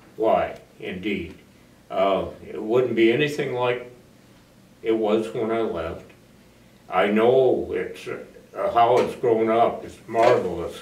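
A man with an American accent at a very slow pace, with long, frequent pauses and audible room echo. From US Midwest (northeastern Iowa). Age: 80s+. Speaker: war veteran. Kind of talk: oral history interview. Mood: warm, reflective. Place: empty room.

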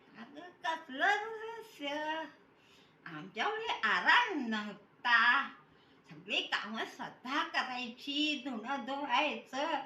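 A woman speaks in a raised, projected voice at a high pitch, with very wide pitch swings and big swings in loudness. Noticeable background noise sits behind her. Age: 80s+. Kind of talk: interview answer. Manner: chatty, teasing.

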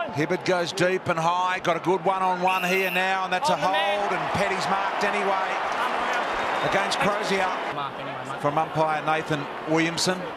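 Long, frequent pauses mark the speech. The sound is dry with no echo, set against loud background noise. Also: moderate pace. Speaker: football commentator. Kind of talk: live commentary.

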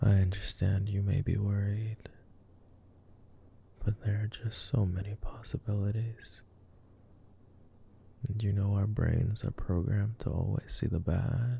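The voice whispers in a gentle tone at a fairly slow pace, with long, frequent pauses. The sound is dry, with no echo. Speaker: voice actor. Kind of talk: soothing calming monologue. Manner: gentle reassuring whisper.

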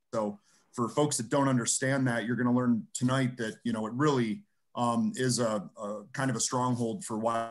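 Faint music sits behind a man talking at a moderate pace. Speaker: host introducing a guest. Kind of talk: spoken introduction. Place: home room. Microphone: webcam.

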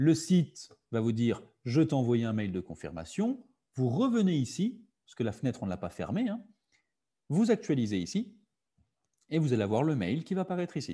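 Over a quiet background, a man with a dark, mellow, somewhat breathy tone talks fairly quickly with very wide pitch swings. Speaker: digital literacy workshop facilitator. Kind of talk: online workshop presentation. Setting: video call. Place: home room. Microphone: webcam.

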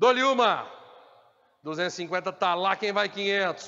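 The man speaks with a high pitch. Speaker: auctioneer. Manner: repetitive insistent prompting, driving toward 'dou-lhe uma, duas, vendido'.

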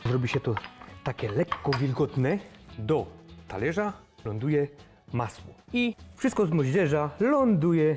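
Clear music plays in the background as a man speaks very slowly with a Silesian accent. His pitch swings very widely. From Silesia, Poland. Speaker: cooking vlogger. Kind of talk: cooking show presentation. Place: kitchen. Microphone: lapel.

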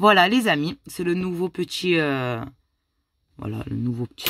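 Her intonation lively and her pace moderate, a woman talks over noticeable background noise in a dry sound with no echo. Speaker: YouTuber scratch-card vlogger. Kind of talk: casual vlog. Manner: animated.

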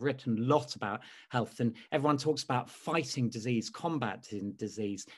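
Against a quiet background, the speaker talks with a London accent and ordinary pitch variation. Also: man. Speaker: speechwriter; lecturer. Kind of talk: interview. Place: home room. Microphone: webcam.

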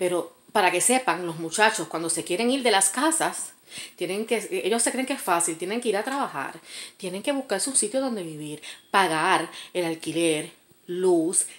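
A woman's voice swings very widely in pitch. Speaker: vlogger. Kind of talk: casual storytime rant, angry venting about an ex, direct to camera. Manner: indignant, sarcastic, emphatic, dismissive. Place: home room. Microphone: phone near.

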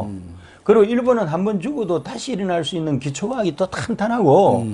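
Speaking at a fairly quick pace, a man's voice makes very wide pitch swings. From South Korea. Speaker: political commentator, professor. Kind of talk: political talk show discussion. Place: studio. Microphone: lapel.

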